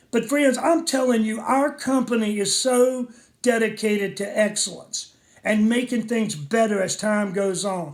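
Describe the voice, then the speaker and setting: Speaking at a fairly slow pace, a man uses a high-pitched voice with ordinary pitch variation. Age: 60s. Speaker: network marketing distributor. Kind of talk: sales pitch. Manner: animated.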